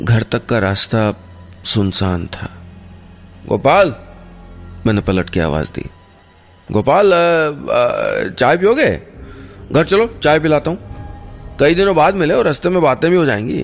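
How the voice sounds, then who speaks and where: Music plays behind a man speaking at a fairly high pitch with long, frequent pauses. His pitch swings very widely. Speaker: radio storyteller. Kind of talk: radio story narration.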